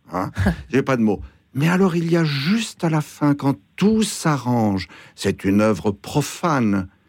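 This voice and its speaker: Very wide pitch swings mark this very slow delivery, and the loudness stays very even. The recording is very clean, with a silent background. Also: man, fairly high pitch for a man. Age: 70s. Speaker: author. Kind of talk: radio discussion.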